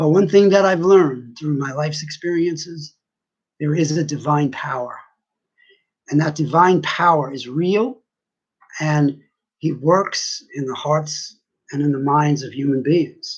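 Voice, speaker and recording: Speaking at a fairly slow pace, a man uses a fairly high pitch with ordinary variation and a somewhat breathy sound. Long pauses come often. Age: 60s. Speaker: vlogger sharing personal views. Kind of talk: personal monologue.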